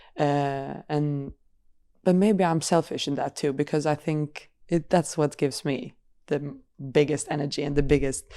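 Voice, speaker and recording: On a very clean recording with a silent background, a woman with a very deep, low pitch speaks at a moderate pace with fairly even intonation. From Sweden. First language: Swedish. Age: 20s. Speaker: professional football goalkeeper. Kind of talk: podcast interview. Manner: halting, repeats words.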